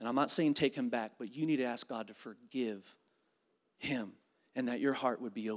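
Speaking fairly quickly but with long, frequent pauses, a man uses a medium pitch with ordinary variation in a very clean recording with a silent background. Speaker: pastor. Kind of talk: sermon. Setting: church.

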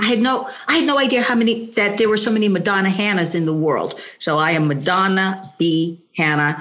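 Speaking at a fairly quick pace with hardly any pauses, a woman uses medium pitch and lively intonation at very even loudness. Noticeable background noise can be heard. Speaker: senior track athlete. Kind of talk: casual chat.

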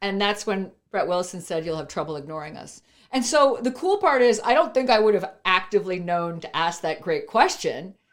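In a very clean recording with a silent background, a woman with a Canadian accent speaks at a fairly quick, medium-pitched clip, her pitch swinging very widely and her loudness shifting a lot. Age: 50s. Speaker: entrepreneur. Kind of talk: interview.

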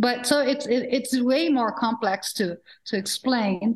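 Her voice is high-pitched, and a woman's pitch varies in an ordinary way as she talks. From Brazil. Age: 50s. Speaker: philanthropist, fund founder. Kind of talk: panel discussion. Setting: video call.

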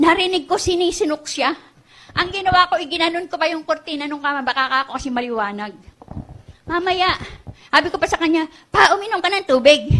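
In an extremely high, raised and projected voice, a woman talks at a very fast pace with a bright, sharp, animated tone and lively intonation. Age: 70s. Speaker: guest pastor. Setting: church, live in front of a congregation. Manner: animated, emotionally charged, pleading; shifting between Tagalog and English, with some halting restarts.

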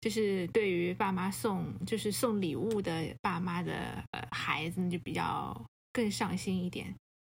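There is vocal fry in this woman's medium-pitched voice, and her intonation is lively. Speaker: podcast co-host. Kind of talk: casual chat.

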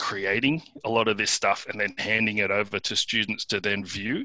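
With an Australian accent, a man speaks at a moderate pace in a fairly low voice with a bright, sharp tone and fairly even intonation, the sound dry and close with no echo. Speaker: tech startup founder. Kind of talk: interview. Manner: halting.

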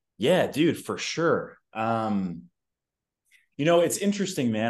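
The background is quiet as a man speaks with an American accent. His pitch is medium and his intonation lively. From New York. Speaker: fitness coach. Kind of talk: casual chat. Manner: animated.

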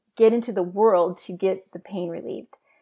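The recording is very clean with a silent background. A woman with a plain, everyday voice talks at medium pitch and moderate pace with ordinary pitch variation. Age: 60s. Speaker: abuse survivor and ministry leader. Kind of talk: testimony.

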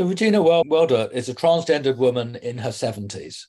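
A man speaks in a plain, everyday voice at a moderate pace. His pitch is fairly high and his intonation lively. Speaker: journalist. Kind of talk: interview. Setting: home.

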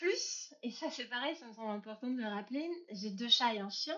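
A woman is speaking. Her pitch is high. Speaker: entrepreneur. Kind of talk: interview. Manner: animated, talkative.

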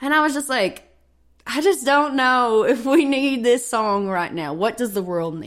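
A woman with a Southern US accent speaks at a fairly slow pace. Her high voice moves through very wide pitch swings. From Kentucky, near Paducah. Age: 20s. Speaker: singer-songwriter. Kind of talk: interview.

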